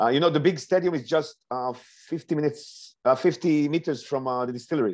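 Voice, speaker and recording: Against a quiet background, a man with an Israeli accent speaks at a moderate pace in a fairly high pitch with ordinary pitch variation. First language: Hebrew. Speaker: whisky distillery representative; guest. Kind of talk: online tasting session chat. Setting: video call. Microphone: earbuds.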